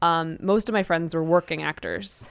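An ordinary speaking voice with an American accent, a fairly quick pace and ordinary pitch variation. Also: woman, very clean recording, silent background. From New York City. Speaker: singer-songwriter. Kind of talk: interview.

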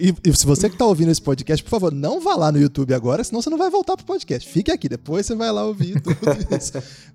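At a very fast pace, a man with a high pitch and a dark, mellow tone speaks with lively intonation. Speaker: podcast host. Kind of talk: casual chat.

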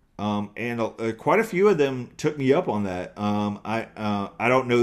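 On a very clean recording with a silent background, a man speaks at a fairly low pitch in a Southern US accent. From US South, East Texas and eastern North Carolina. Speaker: comedian. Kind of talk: interview. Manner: hesitant, many fillers.

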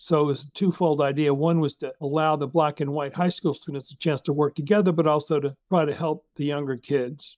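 With an unremarkable speaking voice, a man talks at a fairly quick pace with hardly any pauses, fairly high pitch and fairly even intonation, in a dry, close sound with no echo against a quiet background. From US South, Jackson, Mississippi. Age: 60s. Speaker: civic organizer and author. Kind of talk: interview conversation.

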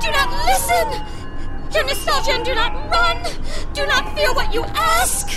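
Clear music plays behind a put-on character voice pitched extremely high. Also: moderate pace. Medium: audio drama. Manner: fragmented, clipped exclamations.

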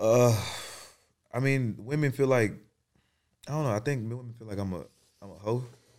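Delivered at a moderate pace, the speech has long, frequent pauses, ordinary pitch variation and big swings in loudness. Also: man, medium pitch for a man. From Atlanta, South Side (Clayton County). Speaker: podcast host. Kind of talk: casual chat.

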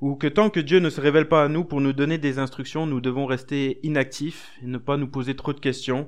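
Speaking fairly quickly against a quiet background, a man's voice sits fairly high in pitch. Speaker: preacher. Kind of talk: sermon, expository Bible study. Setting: church. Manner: conversational, earnest and encouraging; hesitant, with fillers and repeated words.

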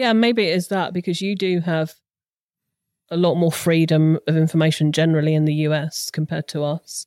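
Fairly quick speech from a woman with a British accent, fairly low in pitch, with fairly even intonation. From southern England, Hampshire. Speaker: crime podcast writer. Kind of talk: storytelling.

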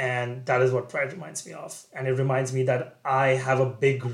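At a moderate pace, a man speaks at medium pitch with a somewhat breathy sound. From India. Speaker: MBA student. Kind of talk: interview.

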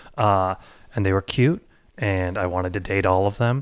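On a very clean recording with a silent background, a man with an American accent and a plain, everyday voice speaks in a fairly low pitch with fairly even intonation. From Boise, Idaho. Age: 30s. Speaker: podcast producer and comedian. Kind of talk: personal storytelling.

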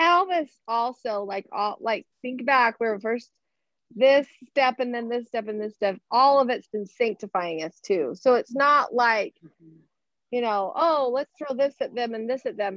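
Her pitch is high and her intonation lively, with big swings in loudness. The woman keeps a fairly slow pace. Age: 50s. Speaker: hairdresser, class participant.

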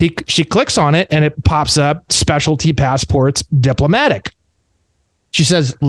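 A man with an American accent speaks in a somewhat breathy voice with ordinary pitch variation, recorded dry and close with no echo. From Indiana, US Midwest. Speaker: sovereign citizen activist. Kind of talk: casual roundtable chat.

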